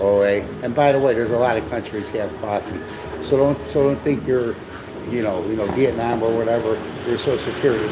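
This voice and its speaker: Speaking at a fairly quick pace in a Chicago accent, a man with a medium-pitched voice is heard over noticeable background noise and audible room echo. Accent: Chicago American English. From US Midwest, Chicago. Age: 60s. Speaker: live stream co-host. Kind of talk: casual live stream chat. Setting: cafe. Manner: animated, repetitive with many fillers.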